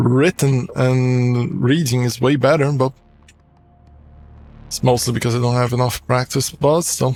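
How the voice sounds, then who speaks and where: Music plays in the background as the speaker goes at a fairly slow pace. Long, frequent pauses break up the fairly even intonation. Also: man, medium pitch for a man. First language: Portuguese. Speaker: gaming streamer. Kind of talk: casual gameplay commentary. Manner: halting.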